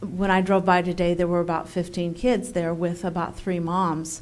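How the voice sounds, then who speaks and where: The speaker talks at a moderate pace, with audible echo from the room. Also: woman. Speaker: lunch program coordinator. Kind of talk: public comment at council meeting. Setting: city council meeting. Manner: halting.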